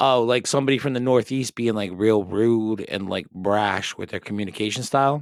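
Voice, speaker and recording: A man with a Rhode Island accent at medium pitch, ordinary pitch variation, a moderate pace with hardly any pauses, on a very clean recording against a silent background. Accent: Rhode Island accent, often taken for Boston. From Rhode Island, US. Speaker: podcast host. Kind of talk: casual chat. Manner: animated.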